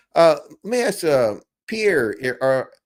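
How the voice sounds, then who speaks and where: A man with a Southern US accent speaks with very wide pitch swings in a very clean recording with a silent background. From US South. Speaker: farmer and tractor channel host. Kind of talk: casual live chat.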